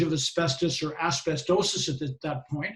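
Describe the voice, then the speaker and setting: A man speaks at a moderate pace with a Boston accent. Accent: Boston American. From US Northeast (Boston). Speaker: safety and health professional. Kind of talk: presentation.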